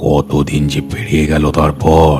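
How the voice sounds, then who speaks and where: Clear music plays in the background. Over it, a man does a put-on character voice. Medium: read story. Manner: calm, hospitable.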